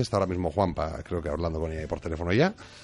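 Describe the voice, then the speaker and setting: Music plays in the background as a man speaks in a very deep, low pitch. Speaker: radio host. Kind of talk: talk radio discussion.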